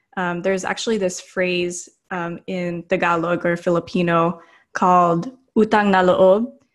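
A moderate pace with an American accent. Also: woman. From US. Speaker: doctoral student researching shame. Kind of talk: interview. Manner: frequent fillers, hesitant.

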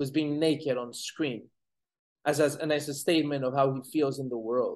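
A man with a fairly high pitch talks at a moderate pace in a monotone, flat delivery. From Colombia. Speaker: film director. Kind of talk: interview. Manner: halting, many repeated words.

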